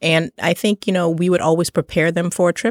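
A woman talks at a very fast pace in a very clean recording with a silent background and a dry, close sound with no echo. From Trinidad. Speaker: travel author and publisher. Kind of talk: interview.

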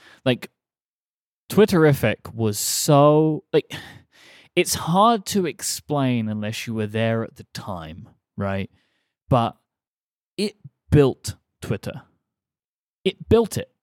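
A man with an English accent speaks at a medium pitch and a very slow pace, his pitch swinging very widely, with long, frequent pauses, in a dry, close sound with no echo and a very clean recording over a silent background. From England. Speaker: podcast host. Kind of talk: casual chat.

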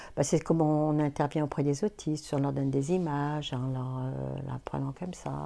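This woman's pitch is very deep and low. Her tone is dark and mellow. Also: very clean recording, silent background. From France, Auvergne (Clermont-Ferrand). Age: 60s. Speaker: retired psychoanalyst. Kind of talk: interview testimony. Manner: hesitant, with fillers.

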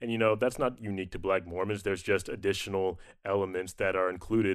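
A man with a very deep, low pitch at a very fast pace, against a quiet background. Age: 30s. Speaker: musician and podcast co-host. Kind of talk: interview conversation.

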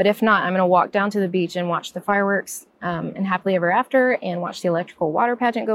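Very fast speech from a woman, medium in pitch, with ordinary pitch variation. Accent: American. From US South. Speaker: podcast panelist, Disney vacation advisor. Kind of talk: casual chat.

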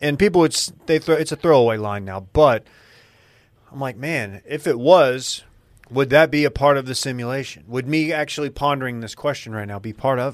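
A man with an ordinary speaking voice talks in an American accent at a fairly quick pace. His pitch is medium with ordinary variation, and his loudness swings widely. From North Texas. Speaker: podcast host and media co-founder. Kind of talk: casual chat.

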